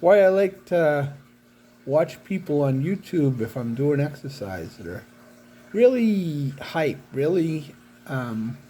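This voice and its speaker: A man's somewhat breathy, dark, mellow voice at a very slow pace, with lively intonation. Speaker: paraplegic vlogger. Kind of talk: personal video diary. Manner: halting.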